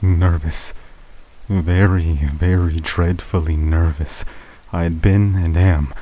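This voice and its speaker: A man with a very deep, low pitch speaks at a very slow pace. His voice is somewhat breathy, with monotone, flat intonation. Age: young. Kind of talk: horror story reading for sleep. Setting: rain sounds in background. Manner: close to the mic, audible breathing.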